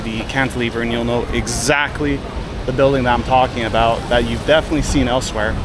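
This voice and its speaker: Medium-pitched man with a Canadian accent at a fairly quick pace, fairly even intonation, audible room echo and noticeable background noise. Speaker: travel vlogger. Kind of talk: travel vlog narration. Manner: casual, conversational.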